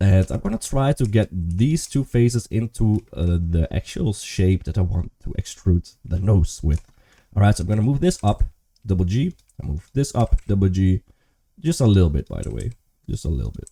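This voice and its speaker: A man talks at a moderate pace in a fairly low pitch with lively intonation, a dark, mellow tone and a somewhat breathy quality, with a dry, close sound and no echo. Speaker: 3D modeling tutor. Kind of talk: tutorial. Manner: casual, thinking aloud.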